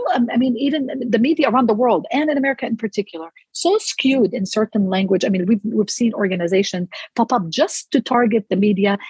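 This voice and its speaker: In an Arabic accent, a woman talks at a fairly quick pace with lively intonation, a fairly high pitch and a somewhat breathy quality, recorded with a dry, close sound and no echo. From Palestine, outskirts of Jerusalem. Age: 40s. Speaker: food blogger. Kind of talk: interview.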